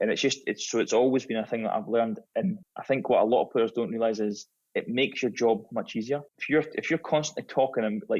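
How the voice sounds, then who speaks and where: Talking at a very fast pace with hardly any pauses, a man with a Scottish accent and medium pitch uses lively intonation. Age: 30s. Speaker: former professional footballer. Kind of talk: podcast interview, casual chat.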